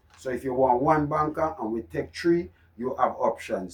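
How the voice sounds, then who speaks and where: Speaking in a Jamaican accent, a man uses lively intonation at a fairly slow pace. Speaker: horse racing tipster. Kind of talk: racing tips presentation. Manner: loud; animated.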